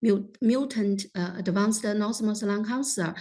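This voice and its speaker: A woman with a Chinese accent talks at a fairly high pitch with fairly even intonation. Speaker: lung cancer specialist. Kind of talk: panel discussion commentary. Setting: online meeting. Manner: halting, many fillers.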